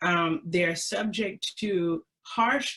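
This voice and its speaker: With lively intonation, a woman of medium pitch has an ordinary speaking voice. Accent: American. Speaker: historian presenter. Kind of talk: webinar presentation. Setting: webinar.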